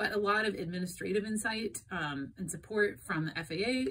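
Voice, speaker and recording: Her tone bright and sharp, a woman talks at a moderate pace. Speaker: airline dispatcher explaining industry news. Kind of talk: informative explainer talk. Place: home room. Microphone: phone near.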